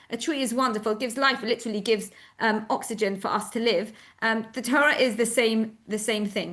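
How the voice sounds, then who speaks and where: A woman with a British accent speaks at a very fast pace in a fairly high pitch. Her intonation is fairly even against a quiet background. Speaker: synagogue educator explaining the service. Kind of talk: explanatory talk to an audience. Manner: casual with many fillers.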